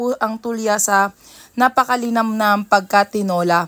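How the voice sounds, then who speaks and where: The recording is dry and close with no echo. A woman speaks at a fairly high pitch and a fairly slow pace. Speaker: cooking vlogger. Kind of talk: voice-over narration. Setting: home at night. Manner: soft-spoken.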